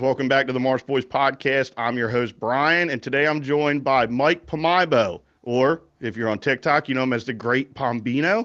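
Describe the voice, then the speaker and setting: A man's medium-pitched talk at a moderate pace, a plain, everyday voice with ordinary pitch variation and hardly any pauses, over a quiet background. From Pittsgrove, New Jersey. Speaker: podcast host. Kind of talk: casual interview.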